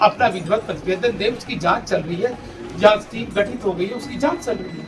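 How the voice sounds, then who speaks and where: A man with a high pitch speaks in big swings of loudness. Music plays in the background, and audible room echo fills the space. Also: ordinary pitch variation, moderate pace. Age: 60s. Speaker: civil surgeon (government doctor). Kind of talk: news interview.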